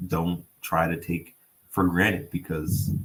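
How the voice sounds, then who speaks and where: Somewhat breathy, a man speaks at a very deep, low pitch. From Nova Scotia, North End Halifax. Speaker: city councillor. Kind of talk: interview. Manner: halting, repeats words.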